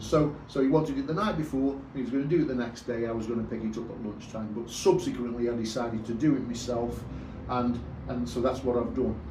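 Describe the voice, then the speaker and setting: A man with a medium-pitched voice speaks at a very fast pace. Noticeable background noise and audible room echo fill the recording. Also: ordinary pitch variation. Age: 60s. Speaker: motorcycle vlogger. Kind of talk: casual vlog tutorial. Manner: hesitant, repeats words.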